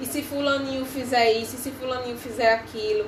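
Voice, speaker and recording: A woman's high voice at a fairly quick pace, fairly even in intonation, with audible room echo and noticeable background noise. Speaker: psychologist. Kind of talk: live stream talk. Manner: fast.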